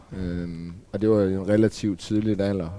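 A man with an unremarkable speaking voice talks at a fairly slow pace and a fairly low pitch. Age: 40s. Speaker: former biker gang member. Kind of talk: casual panel discussion. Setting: café.

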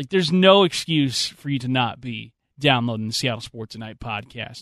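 In a dry, close recording with no echo and a quiet background, a man with an unremarkable speaking voice talks at a moderate pace, medium in pitch, with lively intonation. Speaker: radio sports host. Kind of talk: live sports radio show patter, bantering with co-host and teasing upcoming segments. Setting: radio studio.

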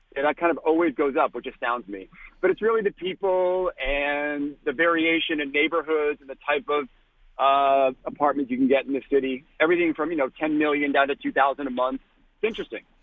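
A man with an American accent uses a normal speaking voice, fairly high in pitch, with ordinary pitch variation. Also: fairly quick pace. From Boston. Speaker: comedian and real estate agent. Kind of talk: phone interview. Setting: phone call.

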